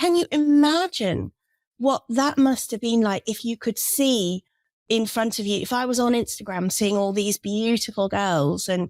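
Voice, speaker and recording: A woman with an English accent speaks fairly slowly at a fairly high pitch, her intonation lively. The sound is dry and close with no echo, on a very clean recording with a silent background. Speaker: children's relaxation expert. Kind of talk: interview.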